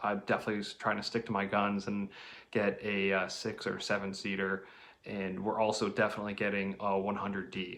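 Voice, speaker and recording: A man talks quietly at a moderate pace. His pitch is fairly low. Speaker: car vlogger. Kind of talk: casual vlog talk. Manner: quiet, hushed.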